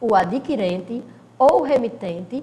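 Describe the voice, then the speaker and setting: A woman talks at a fairly slow pace with lively intonation and a somewhat breathy sound. Room echo is audible. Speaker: law teacher. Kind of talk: recorded lecture. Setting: recording alone, no live class.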